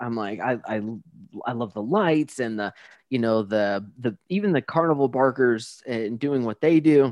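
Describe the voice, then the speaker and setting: Here a man uses a normal speaking voice pitched in the middle range. His tempo is moderate. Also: ordinary pitch variation. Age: 40s. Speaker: podcast host. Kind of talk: casual interview chat. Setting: remote interview.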